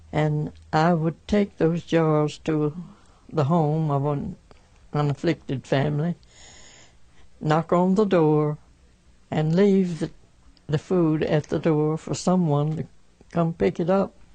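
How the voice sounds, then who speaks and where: A woman speaks very slowly, with long, frequent pauses, in a very deep, low voice. Her intonation stays fairly even, and she has a Southern US accent. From Alabama, USA. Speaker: 1918 flu pandemic survivor. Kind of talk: oral history interview answer.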